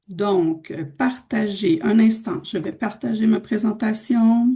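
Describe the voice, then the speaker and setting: This woman's voice has a dark, mellow tone and is somewhat breathy. Her pitch sits fairly high. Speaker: cultural organization director presenting. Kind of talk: webinar presentation. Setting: video call from home. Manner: slow, deliberate for learners.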